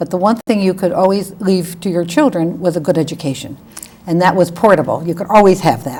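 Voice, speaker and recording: A woman with a New England accent speaks at a fairly quick pace in a fairly low voice with ordinary pitch variation, over noticeable background noise. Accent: New England American. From Connecticut, Bridgeport. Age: 70s. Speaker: lawyer. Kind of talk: oral history interview.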